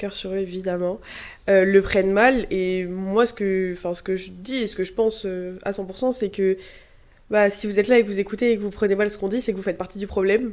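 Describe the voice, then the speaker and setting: Her loudness swings widely while a woman of medium pitch keeps a monotone, flat intonation in a very clean recording with a silent background. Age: 20s. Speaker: medical student. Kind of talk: casual chat. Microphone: too far from the mic at first.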